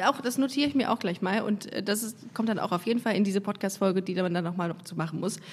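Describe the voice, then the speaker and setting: A woman speaks very fast at a medium pitch with ordinary pitch variation. Her tone is animated and somewhat breathy. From Germany, Düsseldorf. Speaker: podcast host, comedian. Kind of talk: casual interview. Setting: studio.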